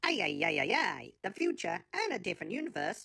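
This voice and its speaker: In a put-on, robotic character voice of middle pitch, the speaker talks at a fairly quick pace. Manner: excitable, repeating 'aye'.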